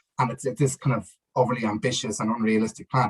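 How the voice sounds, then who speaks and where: The voice, somewhat breathy and in a Dublin accent, moves at a very fast pace. The sound is dry and close with no echo. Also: man. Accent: Dublin Irish. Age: 30s. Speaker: football campaigner. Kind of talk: casual interview. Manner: halting, many fillers.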